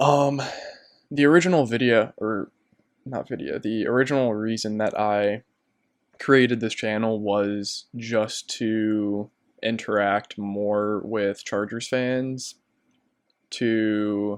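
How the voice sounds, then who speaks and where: A man with an American accent, very slow pace, long and frequent pauses, and fairly even intonation. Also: medium pitch for a man, quiet background. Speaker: sports YouTuber. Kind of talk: casual monologue. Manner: monotone; hesitant, many fillers.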